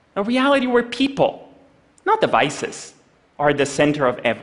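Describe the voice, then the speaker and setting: A man's voice with very wide pitch swings, at a moderate pace over a quiet background. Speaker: conference speaker. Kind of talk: prepared stage talk. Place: stage.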